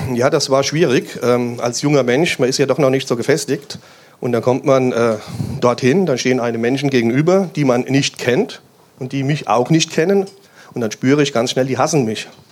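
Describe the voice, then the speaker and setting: Here is a man with an unremarkable speaking voice at a medium pitch. He talks at a moderate pace with ordinary pitch variation. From Hesse, Germany (Main-Kinzig area near Hanau). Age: 50s. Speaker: police officer. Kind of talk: interview at a church event.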